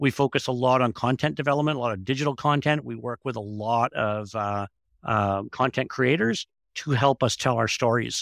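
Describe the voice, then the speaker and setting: On a very clean recording with a silent background and a dry, close sound with no echo, a man with a plain, everyday voice and a Canadian accent speaks at a medium pitch and a moderate pace with ordinary pitch variation. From Northern Ontario, Thunder Bay. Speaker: tourism manager. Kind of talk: interview. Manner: casual, some filler words.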